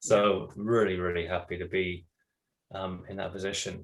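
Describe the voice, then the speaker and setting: In a British accent, a man speaks at a fairly low pitch. His intonation stays monotone and flat. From England. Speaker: voice actor. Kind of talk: interview answer.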